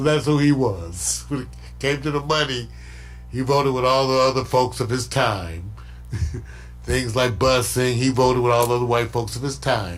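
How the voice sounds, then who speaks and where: A man at medium pitch talks at a moderate pace with ordinary pitch variation. Music plays in the background, and room echo is audible. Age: 60s. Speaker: internet show host. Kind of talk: casual political commentary. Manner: animated.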